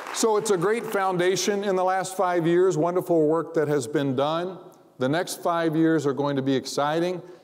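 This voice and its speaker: A man speaks at a moderate pace in a high pitch. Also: ordinary pitch variation. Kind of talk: convocation speech. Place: hall. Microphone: lapel.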